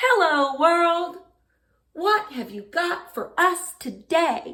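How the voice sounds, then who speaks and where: In a put-on character voice, the speaker is loud and squeaky, talking very slowly with very wide pitch swings. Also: woman, extremely high pitch for a woman. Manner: cheerful greeting.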